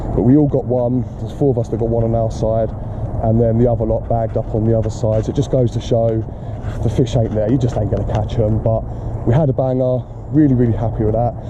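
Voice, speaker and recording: Amid noticeable background noise and audible room echo, a man talks at a very fast pace in a monotone, flat intonation. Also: medium pitch for a man. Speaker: carp angler vlogger. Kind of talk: casual vlog talk to camera. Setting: outdoors on riverbank.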